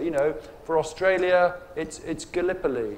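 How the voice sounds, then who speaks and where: This man has an English accent and a fairly high pitch. He keeps a moderate pace. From England. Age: 50s. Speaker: writer. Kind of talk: panel discussion. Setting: stage with audience. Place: tent. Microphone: lapel.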